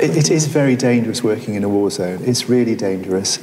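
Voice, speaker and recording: A man with a Welsh accent speaks at a fairly quick pace and a medium pitch, with audible room echo and noticeable background noise. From Wales, Carmarthenshire. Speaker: surgeon. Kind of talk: public conversation on stage. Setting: museum gallery with audience. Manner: halting, with many repetitions.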